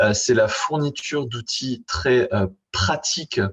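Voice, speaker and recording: Against a quiet background, a man speaks at medium pitch in a somewhat breathy voice with ordinary pitch variation. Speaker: university lecturer and digital sustainability expert. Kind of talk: conference talk. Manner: halting.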